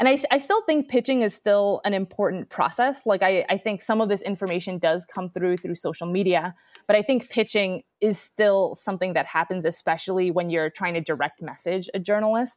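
With an American accent and a normal speaking voice, a woman of medium pitch talks at a fairly quick pace with ordinary pitch variation and hardly any pauses, the sound dry and close with no echo. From New York City. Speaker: professor. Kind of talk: interview.

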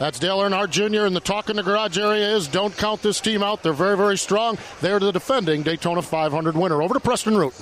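Over noticeable background noise, a man with a high pitch talks at a very fast pace with hardly any pauses. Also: ordinary pitch variation, very even loudness. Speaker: pit road reporter. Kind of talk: live reporting with interviews.

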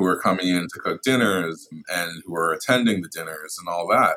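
With a New York accent, this man talks at a moderate speed. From US Northeast, Brooklyn. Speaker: food photographer. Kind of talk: casual chat.

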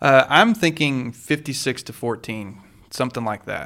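Speaking at a fairly slow pace, a man uses an ordinary speaking voice at a medium pitch. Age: 30s. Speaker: sports podcast co-host. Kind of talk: casual chat. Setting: studio.

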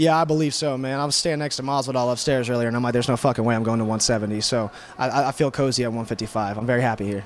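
Noticeable background noise sits behind a man talking very fast. His medium-pitched voice keeps a fairly even intonation. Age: 20s. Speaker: MMA fighter. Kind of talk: post-fight media interview. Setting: fight event media area.

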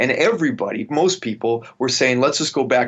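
This is a man with a western Canadian accent. His pitch varies in an ordinary way. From Canada, Vancouver. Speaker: military historian. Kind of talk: interview.

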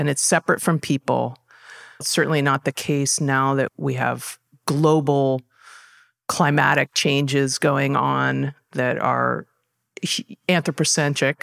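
A woman with a Californian accent, very deep and low in pitch, at a fairly slow pace, with a dry, close sound and no echo. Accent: Californian American. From Southern California. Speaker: parks department natural areas manager. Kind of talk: interview.

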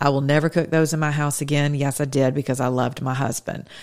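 A woman with a very deep, low pitch at a fairly quick pace, in a very clean recording with a silent background. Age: 50s. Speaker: political talk show host. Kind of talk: political commentary monologue. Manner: animated.

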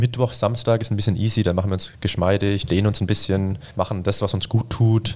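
At a fairly quick pace, a man with a fairly low, somewhat breathy voice speaks with fairly even intonation and very even loudness. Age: 20s. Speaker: sprinter. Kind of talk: casual chat.

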